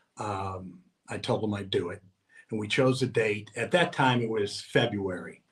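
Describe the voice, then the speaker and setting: Somewhat breathy and fairly low in pitch, a man talks at a moderate pace with lively intonation. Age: 60s. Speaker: long-distance walker and author. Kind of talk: interview. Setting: on location at a mansion.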